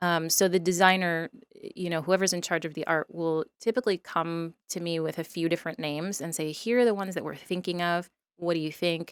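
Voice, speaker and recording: A woman talks at a fairly quick pace in a normal speaking voice, fairly low in pitch with fairly even intonation. The recording is very clean and dry, close with no echo and a silent background. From southern California (San Diego), born in Mexico. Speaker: children's author. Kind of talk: interview conversation.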